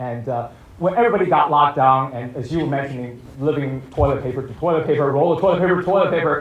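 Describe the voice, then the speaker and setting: Amid audible room echo, a man with a fairly high pitch speaks at a very fast pace with lively intonation. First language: not English. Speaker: film director and writer. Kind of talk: post-screening Q&A. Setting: stage with audience.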